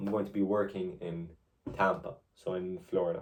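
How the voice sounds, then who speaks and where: A man is speaking here. His voice has a fairly low pitch and a dark, mellow tone. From Kuwait. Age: 20s. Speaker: vlogger. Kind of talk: casual monologue to camera. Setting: at home, filming self. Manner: halting, many fillers.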